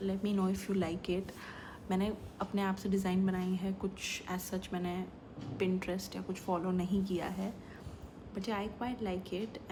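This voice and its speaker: In a room with audible echo, a woman speaks at a medium pitch and moderate pace in a monotone, flat intonation, with long, frequent pauses. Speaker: vlogger. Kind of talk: casual vlog talk. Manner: code-switching Hindi and English.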